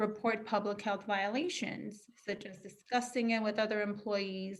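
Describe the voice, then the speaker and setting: A woman speaks softly at a medium pitch. Her intonation stays fairly even. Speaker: county wage enforcement official. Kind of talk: webinar presentation. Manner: fast; soft-spoken. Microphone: far from the mic.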